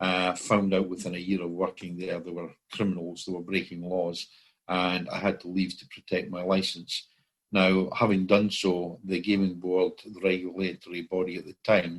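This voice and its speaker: A man with a Scottish accent speaks at a moderate pace in a very deep, low pitch, his intonation monotone and flat while his loudness swings widely. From Scotland. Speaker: common law court founder. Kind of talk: interview. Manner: hesitant, many fillers.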